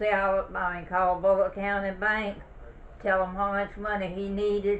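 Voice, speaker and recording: A woman with a Southern US accent in a monotone, flat intonation. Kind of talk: oral history interview answer. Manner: conversational, reminiscing.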